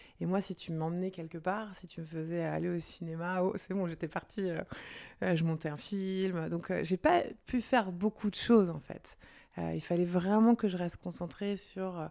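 Her tone is dark and mellow, with a fairly low pitch and fairly even intonation, as a woman speaks at a fairly slow pace. The recording is very clean, with a silent background. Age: 40s. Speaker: entrepreneur. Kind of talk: casual interview.

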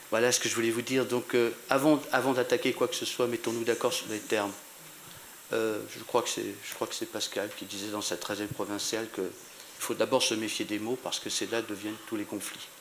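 A man with a medium pitch speaks at a moderate pace with fairly even intonation over noticeable background noise. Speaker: audience member, veteran journalist. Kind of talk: audience question. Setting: conference audience. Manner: hard to hear.

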